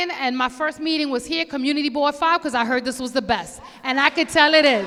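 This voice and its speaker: Over noticeable background noise, a raised, projected voice with a Bronx accent moves at a moderate pace with ordinary pitch variation. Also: woman. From New York City, the Bronx. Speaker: police commander. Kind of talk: community meeting address. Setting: community board meeting with audience. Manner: animated; loud.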